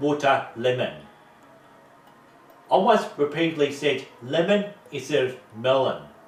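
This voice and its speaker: Over noticeable background noise, a man with an Australian accent speaks fairly slowly at a fairly high pitch with ordinary pitch variation. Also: long, frequent pauses. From Melbourne, Australia. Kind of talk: casual talk to camera.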